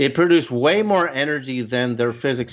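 This man has an ordinary speaking voice and speaks at a moderate pace with ordinary pitch variation. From Canada. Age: 60s. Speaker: researcher and filmmaker on UAPs. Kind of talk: casual interview conversation.

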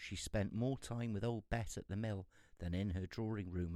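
A man speaks in a normal speaking voice at a fairly low pitch. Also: very clean recording, silent background. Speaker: storyteller reading a fairy tale aloud. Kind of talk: fairy-tale narration, reading aloud.

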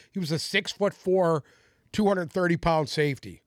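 A man's high-pitched voice at a fairly quick pace, ordinary pitch variation, dry and close with no echo, on a very clean recording with a silent background. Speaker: podcast co-host. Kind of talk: casual banter. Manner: blunt, profane, ranting.

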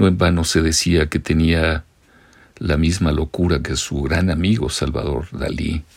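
This man's voice is very deep and low, with vocal fry. He speaks at a fairly slow pace with ordinary pitch variation. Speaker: radio artist and narrator. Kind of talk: scripted narration.

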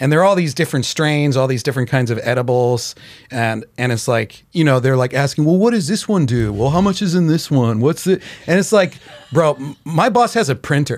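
With an American accent and a normal speaking voice, a man talks at a fairly high pitch with lively intonation. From Chicago. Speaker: comedian. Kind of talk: casual chat. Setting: studio.

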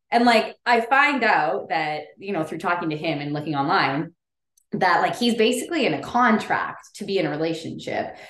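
Her voice an unremarkable speaking voice, a woman with a fairly low pitch talks at a moderate pace with lively intonation. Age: 30s. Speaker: podcast host. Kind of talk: casual chat.

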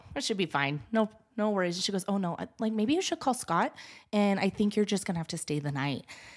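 A woman in a plain, everyday voice talks fairly quickly with an American accent, a medium pitch and lively intonation, on a very clean recording with a silent background. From Wyoming, US (Gillette). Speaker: photographer. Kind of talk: casual chat. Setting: studio.

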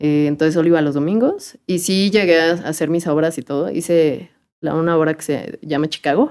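A woman speaks in a normal speaking voice, with a fairly low pitch. Her intonation is fairly even and her pace moderate. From Mexico City. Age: 20s. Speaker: lawyer. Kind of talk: casual interview chat.

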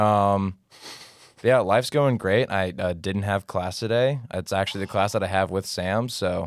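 Ordinary pitch variation comes through in a very clean recording with a silent background. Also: man, low pitch for a man, fairly slow pace.

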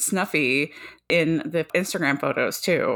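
A woman with an ordinary speaking voice and fairly low pitch talks fairly slowly with ordinary pitch variation, in a very clean recording with a silent background. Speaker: podcast host. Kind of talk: casual chat.

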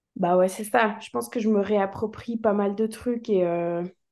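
Over a quiet background, a woman speaks at medium pitch with a dark, mellow tone. She talks at a fairly slow pace with ordinary pitch variation. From Switzerland. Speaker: musician. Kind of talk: interview.

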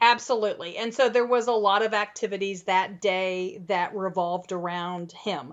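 An unremarkable speaking voice moves at a moderate pace with hardly any pauses. Its pitch variation is ordinary. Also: woman, medium pitch for a woman. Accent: American. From US Midwest. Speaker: childcare training podcast host. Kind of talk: casual chat.

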